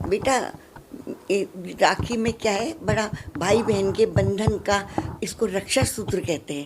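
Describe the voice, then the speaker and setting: Over noticeable background noise, a woman speaks at a medium pitch with ordinary variation, leaving long, frequent pauses. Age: 80s+. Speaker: elderly woman interviewed at post office. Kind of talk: street interview.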